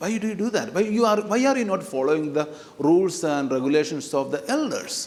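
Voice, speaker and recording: Against noticeable background noise and audible room echo, a man with a non-native accent speaks at a fairly slow pace in a high pitch with lively intonation. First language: not English. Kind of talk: sermon. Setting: church. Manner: hesitant, many fillers; animated, talks with hands.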